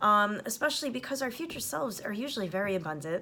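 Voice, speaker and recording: Amid noticeable background noise, a woman with an American accent talks at a very fast pace in an animated tone, her medium pitch making very wide swings. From New York. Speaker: manifestation coach. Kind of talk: casual motivational talk to camera.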